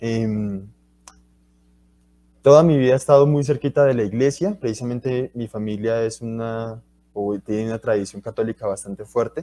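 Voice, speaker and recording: At a moderate pace, a man speaks in a medium pitch with a dark, mellow tone and ordinary pitch variation, the sound dry and close with no echo. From Colombia, Bucaramanga (Santander). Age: 20s. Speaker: university student and guest speaker. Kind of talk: talk to school students. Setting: livestreamed school talk.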